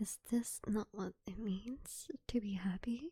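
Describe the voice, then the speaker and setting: A soft-spoken, somewhat breathy woman with a dark, mellow tone, ordinary pitch variation and a very slow pace. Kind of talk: soft-spoken ASMR poetry reading to fall asleep. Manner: soft-spoken, slow, intimate.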